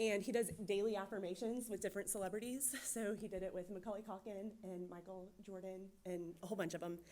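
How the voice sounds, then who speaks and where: Noticeable background noise sits behind a woman at medium pitch. She talks at a fairly quick pace with hardly any pauses and fairly even intonation. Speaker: church youth director giving testimony. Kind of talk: testimony. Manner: fast.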